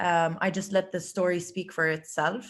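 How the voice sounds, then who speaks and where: Against a quiet background, a speaker with an Arabic accent talks at a fairly slow pace in a monotone, flat intonation. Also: woman. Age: 30s. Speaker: CrossFit athlete. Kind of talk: interview conversation. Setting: video call.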